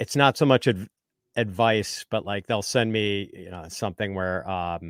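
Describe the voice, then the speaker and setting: A man's fairly low-pitched voice at a fairly slow pace, with ordinary pitch variation and big swings in loudness, on a very clean recording with a silent background and a dry, close sound with no echo. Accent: Midwestern. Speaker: fantasy football analyst. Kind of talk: podcast interview. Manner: casual, with ums and ahs.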